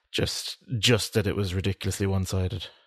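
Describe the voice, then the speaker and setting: Against a quiet background, a man with an Irish accent talks in a fairly low pitch with a monotone, flat intonation. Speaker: podcast co-host. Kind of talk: casual chat.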